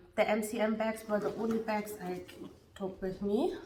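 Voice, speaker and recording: Fairly even intonation from a woman, with audible room echo and noticeable background noise. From Germany. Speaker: beauty and fashion vlogger. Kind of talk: product review.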